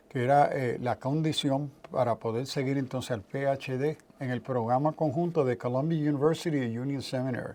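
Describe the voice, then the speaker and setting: His pitch is medium and his intonation fairly even. The man keeps a moderate pace with hardly any pauses. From New York (South Bronx), Puerto Rican parents. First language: English (speaking Spanish). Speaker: theologian and professor. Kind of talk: interview.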